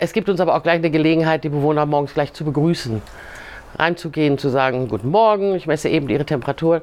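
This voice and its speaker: A woman speaks at a very fast pace. Her pitch is very deep and low, with ordinary pitch variation. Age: 50s. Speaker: geriatric care assistant. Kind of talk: interview.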